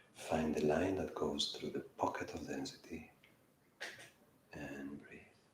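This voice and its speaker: A man talks at a fairly slow pace with long, frequent pauses and big swings in loudness, with audible room echo. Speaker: yoga teacher. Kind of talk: guided yoga class.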